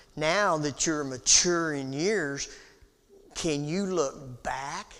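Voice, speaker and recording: A man speaks very slowly at a fairly high pitch with ordinary variation, and the room echo is audible. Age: 60s. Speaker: Bible class teacher. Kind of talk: Bible class lecture. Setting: church auditorium. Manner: halting, with many fillers.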